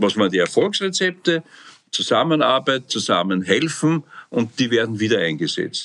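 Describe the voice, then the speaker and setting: His pitch medium for a man, the speaker swings through a very wide pitch range. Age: 70s. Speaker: psychotherapist, association president. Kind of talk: interview.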